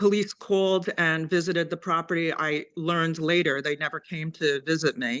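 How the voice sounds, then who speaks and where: A plain, everyday voice speaks at a moderate pace against a quiet background. The intonation stays fairly even. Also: woman. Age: 60s. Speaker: resident raising a complaint. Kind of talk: public meeting testimony.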